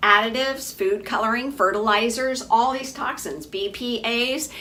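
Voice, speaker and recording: Room echo and noticeable background noise surround a woman's raised, projected voice. She is high-pitched and keeps a moderate pace. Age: 60s. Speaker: physician running a health program. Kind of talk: informal health lecture to program members. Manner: casual, chatty with frequent fillers.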